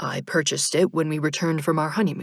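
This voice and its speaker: A woman uses a put-on character voice with a very deep, low pitch and fairly even intonation, talking at a very fast pace. The recording is very clean, with a silent background. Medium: read story. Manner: literal, matter-of-fact.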